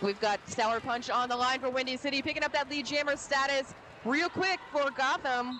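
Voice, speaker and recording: Over noticeable background noise, a woman projects a raised, high-pitched voice with very even loudness and ordinary pitch variation. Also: moderate pace. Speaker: roller derby announcer. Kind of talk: live commentary.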